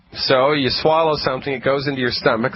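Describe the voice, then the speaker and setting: Over noticeable background noise, a man talks at a fairly quick pace with a slight New England accent. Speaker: radio health show host, naturopathic doctor. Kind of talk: radio talk show explanation. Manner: casual, conversational.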